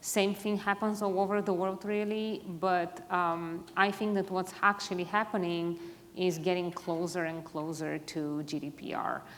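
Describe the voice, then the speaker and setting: Against noticeable background noise, a woman speaks at a medium pitch with fairly even intonation. Her pace is fairly slow, with hardly any pauses. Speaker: privacy executive, panelist. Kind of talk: panel discussion.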